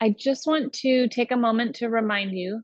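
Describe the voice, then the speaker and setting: A woman's very slow speech with a gentle tone and ordinary pitch variation. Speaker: meditation guide. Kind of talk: guided meditation.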